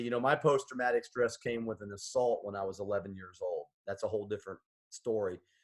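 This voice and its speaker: The man talks at a fairly quick pace, medium in pitch, with ordinary pitch variation. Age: 60s. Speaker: army veteran, business owner. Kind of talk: interview. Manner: halting, repeats words.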